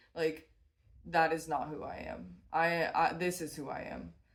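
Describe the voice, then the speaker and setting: A woman's fairly low voice carries audible room echo. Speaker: tarot reader and small business owner. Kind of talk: tarot reading monologue. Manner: casual, with frequent fillers.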